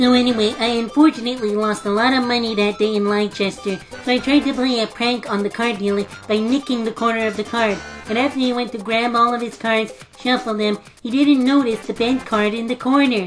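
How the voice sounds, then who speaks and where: A woman's cartoonish character voice, fairly high and fairly quick, with clear music in the background. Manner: theatrical, addresses audience.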